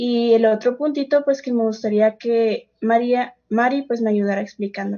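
A woman's normal speaking voice, fairly high-pitched, at a moderate pace with fairly even intonation. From Mexico, Sonora. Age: 20s. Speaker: congregation member. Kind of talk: bible study discussion.

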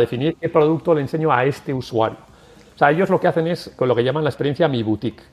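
With ordinary pitch variation, a man's fairly high-pitched voice is heard. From Basque Country, San Sebastián. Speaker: tech company executive. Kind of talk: interview. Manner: halting.

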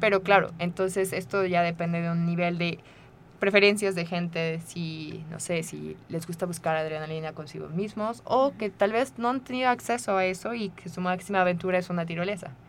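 This woman has a normal speaking voice, fairly low in pitch with ordinary pitch variation, and keeps a moderate pace. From Mexico, Querétaro. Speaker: rock climbing coach. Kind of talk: radio interview.

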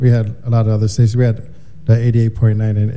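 This man has a fairly low pitch and a dark, mellow tone that is somewhat breathy. He talks at a moderate pace with monotone, flat intonation. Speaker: club and radio DJ. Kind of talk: casual DJ chat.

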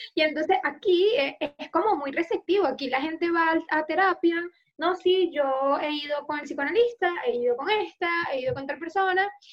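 A woman talks at a moderate pace. Her pitch is extremely high. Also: ordinary pitch variation. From Venezuela. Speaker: psychologist and podcast co-host. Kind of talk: casual chat.

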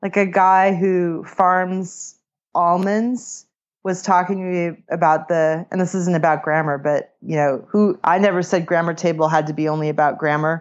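A woman with an American accent has an unremarkable speaking voice, pitched fairly low and paced moderately. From California. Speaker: author and grammar teacher. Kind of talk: interview.

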